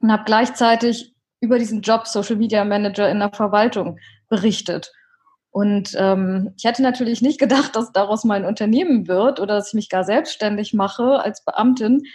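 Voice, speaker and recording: A woman talks in a somewhat breathy voice with fairly high pitch and ordinary pitch variation. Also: moderate pace. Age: 30s. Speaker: social media consultant, former civil servant. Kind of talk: interview. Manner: hesitant with frequent fillers.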